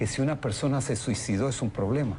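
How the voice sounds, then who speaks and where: Moderate pace with ordinary pitch variation. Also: man. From Argentina. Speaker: politician. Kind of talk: TV interview.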